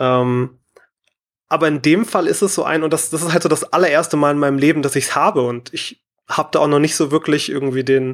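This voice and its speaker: With a normal speaking voice, a man talks fairly quickly at a fairly high pitch and fairly even intonation, on a very clean recording with a silent background. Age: 20s. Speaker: caller, streamer. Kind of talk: personal testimony.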